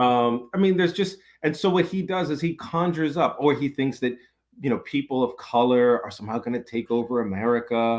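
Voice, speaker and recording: Here a man has a normal speaking voice, pitched fairly high. He moves at a fairly quick pace with lively intonation. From New York City. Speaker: professor and author. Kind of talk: podcast interview.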